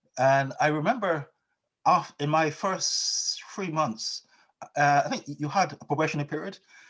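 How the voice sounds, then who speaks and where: Using a Barbadian accent, a man talks at a moderate pace and a fairly high pitch, with ordinary pitch variation. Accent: Barbadian lilt, retained. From Barbados. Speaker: financial technology company founder. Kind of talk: interview. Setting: video call. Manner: halting, many repetitions.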